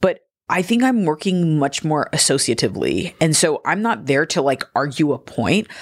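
A woman with a Californian accent, very deep and low in pitch, with very wide pitch swings, very even loudness and a moderate pace, on a very clean recording with a silent background. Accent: Californian American English. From Southern California (Gardena, Los Angeles). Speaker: curator and writer. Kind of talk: casual interview conversation. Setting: in person.

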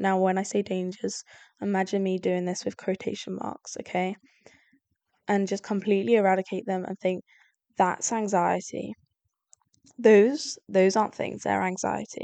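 A woman's medium-pitched, dark and mellow voice at a moderate pace, with long, frequent pauses and a quiet background. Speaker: solo podcast host. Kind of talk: casual monologue.

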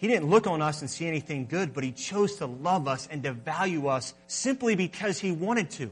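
Here a man's fairly high voice swings very widely in pitch. Music plays in the background. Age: 20s. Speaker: pastor. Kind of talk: sermon. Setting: church.

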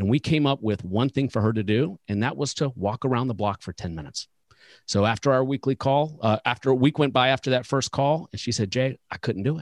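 A man speaks at medium pitch in an unremarkable speaking voice, moving at a fairly quick pace with ordinary pitch variation, and the sound is dry and close with no echo. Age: 40s. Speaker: financial advisor coach and podcast host. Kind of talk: casual interview chat.

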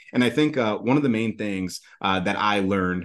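Over a quiet background, a man with an unremarkable speaking voice talks at a fairly quick pace and a fairly low pitch. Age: 30s. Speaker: agency founder. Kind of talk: interview.

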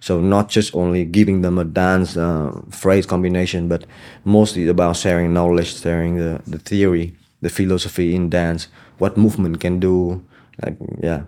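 A man's very deep, low voice with a dark, mellow tone, a Vietnamese accent, monotone, flat intonation and a moderate pace. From Hanoi, Vietnam. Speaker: dancer and choreographer. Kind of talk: casual interview. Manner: halting.

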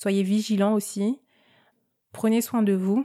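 A woman speaks at a very slow pace in a dark, mellow tone. The recording is very clean, with a silent background. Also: dry, close sound with no echo. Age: 30s. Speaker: podcast host. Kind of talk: casual personal monologue. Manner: hesitant, frequent filler words.

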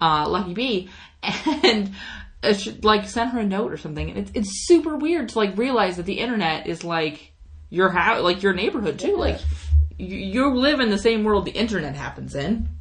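A woman speaks at a moderate pace with lively intonation and vocal fry. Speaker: podcast host. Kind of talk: podcast interview, casual chat.

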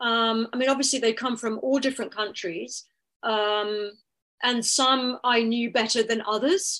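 A woman's fairly high-pitched voice, bright and sharp in tone, at a fairly slow pace with ordinary pitch variation against a quiet background. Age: 60s. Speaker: dancer and artist-researcher. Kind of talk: academic seminar talk.

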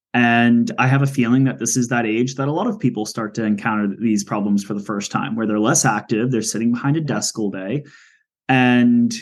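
An ordinary speaking voice at a moderate pace, with ordinary pitch variation. The background is quiet. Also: man. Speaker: podcast host. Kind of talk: interview, casual conversation.

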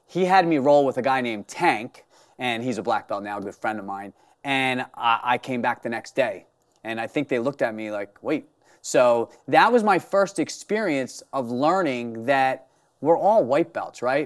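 A man with an unremarkable speaking voice uses lively intonation at a moderate pace, recorded very cleanly against a silent background. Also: medium pitch for a man. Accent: American. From US Northeast, Philadelphia. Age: 40s. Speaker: martial arts instructor. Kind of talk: interview.

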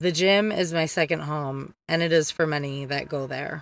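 Someone with a Detroit accent speaks at a fairly slow pace on a very clean recording with a silent background. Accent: Michigan (Detroit area) American. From Downriver Detroit area, Michigan. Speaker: podcast host. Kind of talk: casual monologue. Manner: animated.

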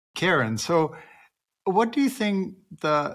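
Somewhat breathy, a man speaks with lively intonation. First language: not English. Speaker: podcast host, veterinarian. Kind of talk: interview conversation. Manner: halting, repeats words.

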